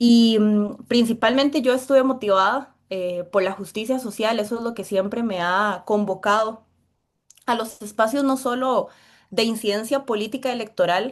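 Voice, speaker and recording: A woman with a Costa Rican accent speaks at a fairly slow pace in a fairly high pitch, with fairly even intonation and a quiet background. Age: 20s. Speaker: political candidate. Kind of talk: interview.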